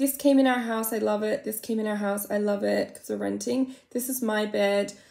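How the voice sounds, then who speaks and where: In an Australian accent, a woman speaks at a moderate pace and a fairly high pitch against a quiet background. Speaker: makeup vlogger. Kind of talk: casual makeup tutorial with comedic commentary. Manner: chatty, rambling. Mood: playful, self-mocking. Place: home room. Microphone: phone near.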